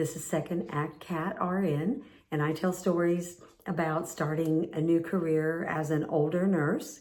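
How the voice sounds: A woman speaks with low pitch. Her tone is slightly mellow.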